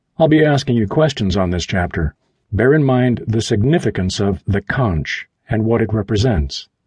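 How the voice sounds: The voice reads naturally with lively intonation. The background is quiet.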